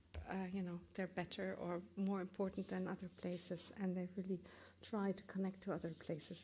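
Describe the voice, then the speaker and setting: A woman speaks with a German accent at a moderate pace. Her voice is somewhat breathy. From Germany. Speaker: curator and professor. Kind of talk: lecture. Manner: halting, many fillers and restarts.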